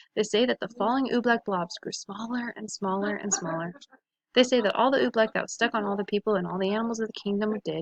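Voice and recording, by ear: The background stays quiet. Over it, someone is reading aloud in a natural voice, with ordinary pitch variation.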